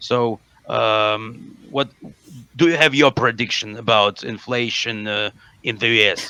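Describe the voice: A man with a medium-pitched voice talks at a fairly slow pace, his tone bright, sharp, clear and smooth, his intonation fairly even.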